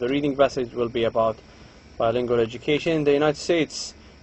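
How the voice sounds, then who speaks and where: This voice carries an Arabic accent and a fairly even intonation. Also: man. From Saudi Arabia. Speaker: lecturer. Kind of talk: lecture.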